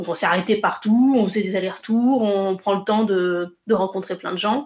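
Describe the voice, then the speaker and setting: Here is a woman with a normal speaking voice at a medium pitch. She talks at a fairly quick pace with fairly even intonation. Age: 30s. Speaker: travel blogger and photographer. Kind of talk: interview testimony.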